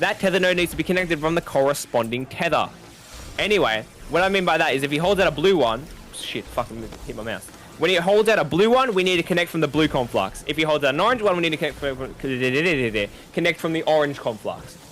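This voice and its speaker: A man with an Australian accent and a fairly high pitch, talking at a very fast pace with music in the background. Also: lively intonation. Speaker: gamer teaching a raid. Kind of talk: tutorial. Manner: stuttering today.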